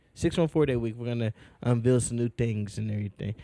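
A man speaks loudly at a very fast pace. The sound is dry and close, with no echo. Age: 20s. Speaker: podcast host. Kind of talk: casual chat.

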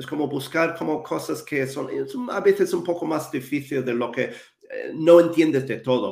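A man with a non-native accent speaks at a moderate pace, his fairly high pitch varying in an ordinary way. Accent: foreign accent in Spanish. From New Zealand, Wellington. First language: English (speaking Spanish). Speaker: English communication coach. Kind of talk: interview. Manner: halting.

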